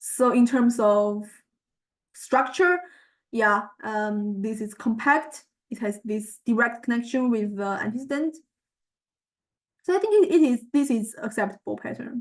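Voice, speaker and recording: In a Chinese accent, a woman talks at a fairly slow pace with long, frequent pauses, a high pitch, and ordinary pitch variation. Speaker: student researcher presenting a project. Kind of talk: tutorial walkthrough of results. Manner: halting, many fillers.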